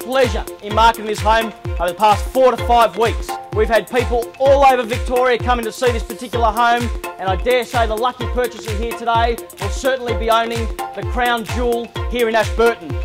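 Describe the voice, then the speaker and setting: At a fairly quick pace, a man speaks while clear music plays behind him. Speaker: real estate auctioneer. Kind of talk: auction introduction to a crowd. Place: street.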